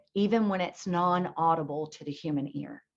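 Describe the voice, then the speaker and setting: A woman's fairly low voice in an American accent, a normal speaking voice at a fairly slow pace with fairly even intonation. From North Carolina, Blue Ridge Mountains. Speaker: spiritual teacher and hypnotherapist. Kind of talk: spiritual talk to an audience. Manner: casual, conversational.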